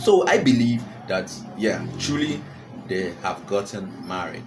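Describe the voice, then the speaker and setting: Over noticeable background noise and audible room echo, a man with a Nigerian accent talks fairly slowly at medium pitch, his tone animated and his intonation lively. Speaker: celebrity gossip vlogger. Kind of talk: casual commentary to camera. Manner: animated, repetitive; frequent fillers and hesitations.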